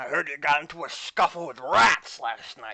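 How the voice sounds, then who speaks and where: This is a man doing a raspy put-on character voice. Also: big swings in loudness. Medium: actual play. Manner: gruff, scolding.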